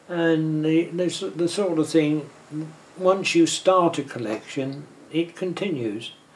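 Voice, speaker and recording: Noticeable background noise sits under speech delivered very slowly. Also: man, fairly high pitch for a man, ordinary pitch variation. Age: 80s+. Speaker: amateur filmmaker and film collector. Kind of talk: interview. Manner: halting.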